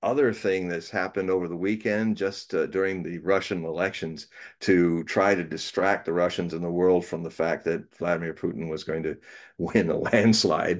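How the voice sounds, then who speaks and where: A man speaks at a very deep, low pitch with fairly even intonation. His pace is moderate, and the background is quiet. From United States. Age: 60s. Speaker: prophecy writer and reader. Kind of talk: casual interview chat. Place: home room. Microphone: video call.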